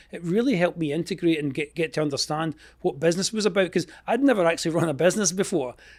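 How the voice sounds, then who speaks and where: A man with a Scottish accent talks at a very fast pace. His voice is high-pitched, with ordinary pitch variation. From Scotland. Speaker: entrepreneur, expense reduction consultant. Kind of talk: interview answer.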